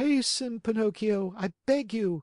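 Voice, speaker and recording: Fairly slow delivery in a put-on character voice with a fairly high pitch. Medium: read story. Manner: urgent, breathless.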